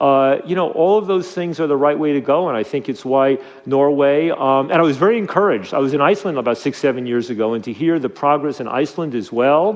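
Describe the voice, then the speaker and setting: Speaking very fast in an American accent, a man uses lively intonation and a fairly high pitch over noticeable background noise. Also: hardly any pauses. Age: 60s. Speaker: drug policy reform advocate. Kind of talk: interview. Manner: halting, many fillers and repetitions.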